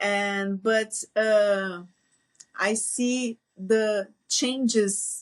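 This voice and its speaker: A woman in a Portuguese accent, medium-pitched, with monotone, flat intonation. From Brazil. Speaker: veterinarian. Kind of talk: interview conversation. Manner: halting, hesitant.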